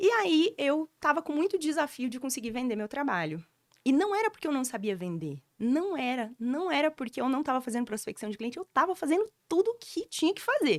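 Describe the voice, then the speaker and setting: A woman's high-pitched voice at a fairly quick pace with very wide pitch swings, dry and close with no echo, in a very clean recording with a silent background. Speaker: storytelling mentor. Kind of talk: podcast interview, personal story. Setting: podcast studio. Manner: animated.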